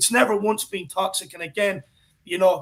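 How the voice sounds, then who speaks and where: With an Irish accent, a man talks at a fairly quick pace in an animated tone, his high pitch coming through bright and sharp. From Ireland. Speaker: football fan pundit. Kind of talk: casual chat.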